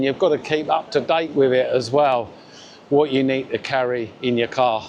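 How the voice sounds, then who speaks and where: Speaking in a Cockney accent, a man keeps a moderate pace, a fairly high pitch, and fairly even intonation. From London (Cockney). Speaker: vlogger. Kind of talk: walking vlog. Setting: outdoors. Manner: casual, with fillers.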